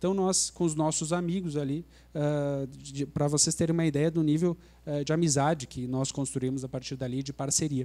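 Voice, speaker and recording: Dark, mellow tone, fairly even intonation and a moderate pace. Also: man, fairly high pitch for a man. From Brazil, Rio Grande do Sul (Santa Maria). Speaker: lawyer. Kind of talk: panel talk. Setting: live event with audience.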